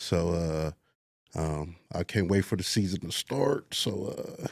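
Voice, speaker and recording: A man's very deep, low voice with ordinary pitch variation, dry and close with no echo, on a very clean recording with a silent background. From Los Angeles. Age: 30s. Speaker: semi-pro football player. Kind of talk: casual interview. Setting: studio.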